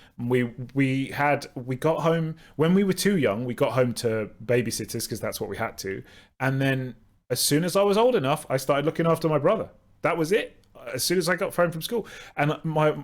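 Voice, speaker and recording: A man with a Southern English accent speaks with lively intonation on a very clean recording with a silent background. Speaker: podcast host. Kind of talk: casual chat.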